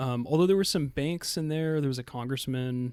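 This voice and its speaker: A man is talking. The intonation is fairly even. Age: 20s. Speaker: machine learning engineer. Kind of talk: casual chat. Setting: in person. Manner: halting.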